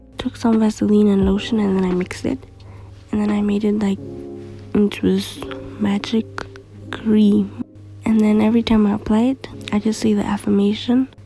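A woman whispers in a soft-spoken way. Music is in the background. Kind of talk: casual talk to camera. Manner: whispery, soft.

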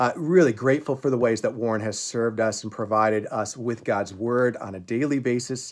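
Against a quiet background, a man talks at a fairly quick pace. His intonation stays fairly even. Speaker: pastor. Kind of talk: devotional talk to a congregation. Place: home room. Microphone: phone near.

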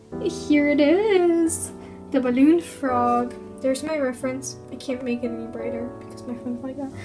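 Speech moves at a moderate pace with noticeable background noise behind it. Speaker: amateur artist vlogger. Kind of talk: casual talk to camera. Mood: playful, light. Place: home room. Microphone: phone near.

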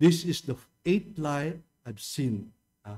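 Faint music plays behind a man speaking fairly slowly with lively intonation. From Philippines. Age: 70s. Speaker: pastor. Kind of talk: sermon. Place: church. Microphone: podium.

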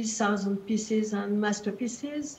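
Speaking at a fairly slow pace, a woman with a French accent keeps her intonation fairly even. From France. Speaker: museum director. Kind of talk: panel introduction. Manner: halting. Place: office. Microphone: video call.

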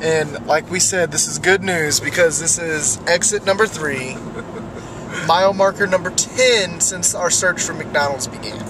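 A man speaks at a moderate pace in a dry sound with no echo. Noticeable background noise can be heard. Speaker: road trip vlogger. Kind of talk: casual vlog chat. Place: car. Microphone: phone near.

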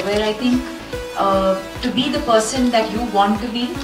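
A woman speaks at a moderate pace. Behind her, clear music is audible. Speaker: film actress. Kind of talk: interview answer. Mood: calm, earnest. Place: hall.

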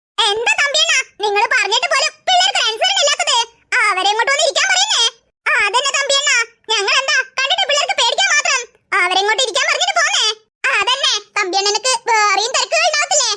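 This squeaky, cartoonish character voice sits at an extremely high pitch and moves at a moderate pace.

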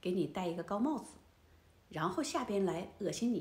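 Amid audible room echo, a somewhat breathy woman speaks at a moderate pace with very wide pitch swings. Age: 60s. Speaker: elderly lifestyle vlogger. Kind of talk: casual monologue to camera. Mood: indignant, storytelling. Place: home room.

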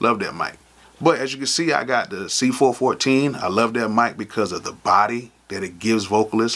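At a moderate pace, the man talks with ordinary pitch variation. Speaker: music producer vlogger. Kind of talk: casual vlog chat. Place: studio.

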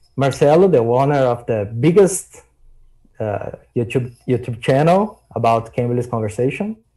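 Over a quiet background, a man with a Brazilian accent talks at a fairly slow pace in a dark, mellow, somewhat breathy tone with lively intonation. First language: Portuguese. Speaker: English learner and YouTuber. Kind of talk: casual chat. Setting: video call. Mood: warm, friendly. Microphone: video call.

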